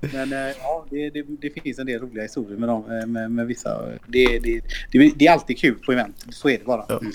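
A man with an unremarkable speaking voice talks at a moderate pace and medium pitch, his intonation fairly even. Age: 30s. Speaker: esports team CEO. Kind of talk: casual interview.

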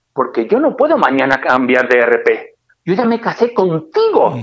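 A man speaks at a moderate pace with a Murcian accent. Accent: Spanish (Murcia). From Spain, Murcia. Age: 50s. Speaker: trucking company director. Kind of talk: interview. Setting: phone call.

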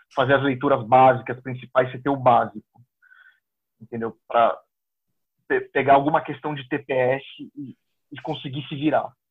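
With big swings in loudness, a man talks at a moderate pace in a monotone, flat way, leaving long, frequent pauses. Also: medium pitch for a man. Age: 30s. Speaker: exam candidate who passed the diplomatic service exam. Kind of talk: interview.

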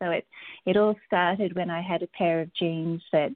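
In an Australian accent, a woman talks at a fairly slow pace in a fairly low pitch. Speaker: textile artist and teacher. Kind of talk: interview.

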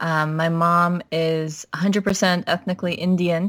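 A woman with an American accent speaks at a fairly slow pace, her pitch medium. She has a plain, everyday voice. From Minnesota. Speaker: academic doctor. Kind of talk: casual chat.

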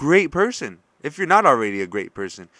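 A man speaks in an energetic, animated tone that is bright and sharp. His pitch swings very widely. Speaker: podcast host. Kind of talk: motivational pep talk, upbeat solo monologue. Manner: earnest, encouraging, direct address.

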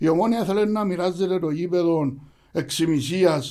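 Dark, mellow tone from a man with a high pitch, at a moderate pace. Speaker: football supporters' group leader. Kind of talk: interview.

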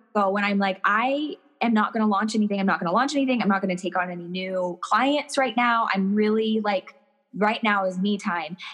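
Over noticeable background noise, a woman speaks in an energetic, bubbly tone with lively intonation. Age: 30s. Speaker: personal stylist. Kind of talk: casual interview chat.

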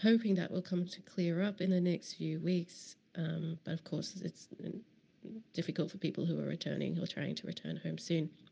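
The pace here is moderate. An Australian accent comes through. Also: woman. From Queensland, Australia. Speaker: podcast host. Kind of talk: casual spoken intro. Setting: immigration office.

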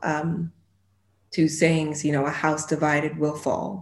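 With a monotone, flat intonation, a woman speaks in a very deep, low pitch. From London, then moved to the US when young. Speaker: actress. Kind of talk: interview.

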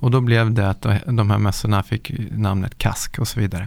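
A man speaks fairly quickly in a normal speaking voice. His pitch is medium and his intonation fairly even. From Stockholm area, Sweden. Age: 40s. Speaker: pro skier and entrepreneur. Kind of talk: casual interview. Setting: studio.

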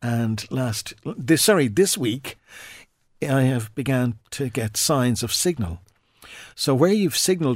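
A man with an Irish accent speaks at a medium pitch and a fairly slow pace, using lively intonation and long, frequent pauses, in a very clean recording with a silent background. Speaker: radio presenter and stroke survivor. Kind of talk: interview telling personal story. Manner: halting.

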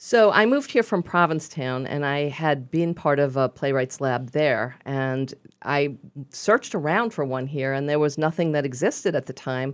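In a Brooklyn accent, a woman with a very deep, low pitch speaks at a moderate pace. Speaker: playwright, radio guest.

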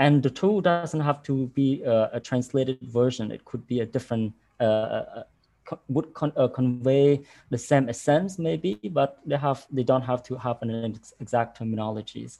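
A man with a Cambodian accent speaks at a moderate pace in a dark, mellow tone with medium pitch and ordinary pitch variation. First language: Khmer. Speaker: arts program director. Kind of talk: online panel discussion. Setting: video call. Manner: halting.

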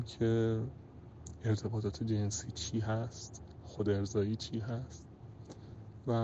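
At a very slow pace, a man talks at a medium pitch. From Iran, Tehran. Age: 30s. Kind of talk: personal testimony.

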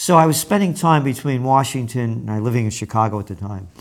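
Here a man speaks with a New York accent. His voice sits at a medium pitch with lively intonation. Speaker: trends forecaster and publisher. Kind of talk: interview.

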